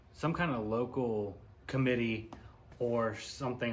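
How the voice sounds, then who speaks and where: This man's voice sits at a medium pitch, with fairly even intonation. Audible room echo surrounds it. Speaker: YouTuber, commentary vlogger. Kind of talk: casual commentary monologue. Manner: mumbly.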